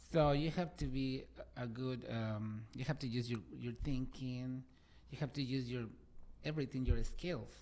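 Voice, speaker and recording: The speaker has a Spanish accent and keeps a moderate pace. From Mexico City. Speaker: interviewer and journalist. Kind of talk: interview talk show. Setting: studio, live stream. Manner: hesitant, many fillers.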